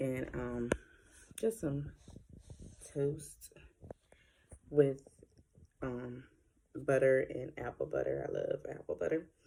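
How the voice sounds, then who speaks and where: A woman is speaking. Her voice is soft-spoken. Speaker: vlogger and group home manager. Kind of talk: casual vlog.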